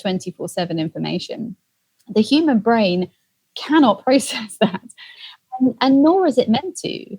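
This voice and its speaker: Somewhat breathy, this woman speaks with a British accent. Her tone is dark and mellow. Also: dry, close sound with no echo. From England. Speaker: empathy expert and author. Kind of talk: interview answer.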